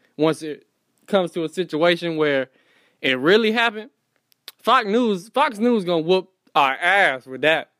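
A man with an American accent speaks at a moderate pace in a high, bright, sharp voice, his intonation lively and his pauses long and frequent. The sound is dry and close with no echo, a very clean recording over a silent background. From Fayetteville, North Carolina. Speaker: podcast host and Instagram comedian. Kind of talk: casual solo monologue.

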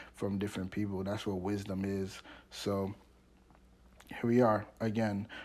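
Here a man talks at a moderate pace in a fairly low voice. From Washington DC area, Maryland. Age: 20s. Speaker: podcast host. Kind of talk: casual monologue. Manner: rambling, halting; stutter.

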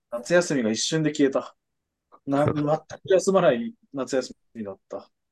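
An unremarkable speaking voice with lively intonation, dry and close with no echo. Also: man, fairly high pitch for a man. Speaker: podcast co-host. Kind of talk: casual chat.

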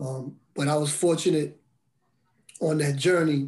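Somewhat breathy, a man speaks fairly slowly at a fairly high pitch. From Brooklyn and Bridgeport, Connecticut. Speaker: formerly incarcerated mentor. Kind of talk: testimony.

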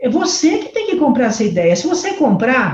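Speaking at a fairly slow pace, a woman with a dark, mellow tone lets her pitch swing very widely. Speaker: urban development consultant. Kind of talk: interview. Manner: animated.

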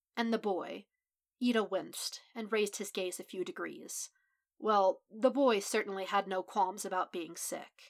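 Over a quiet background, plain reading aloud

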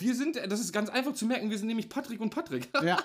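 A man with a high voice speaks at a very fast pace. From Hanover, northern Germany. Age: 30s. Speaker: podcast co-host. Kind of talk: casual chat.

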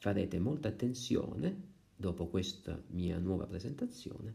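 A man's fairly low, dark, mellow voice with vocal fry and very wide pitch swings, at a moderate pace amid audible room echo. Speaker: music teacher. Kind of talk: lesson. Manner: hesitant, with fillers.

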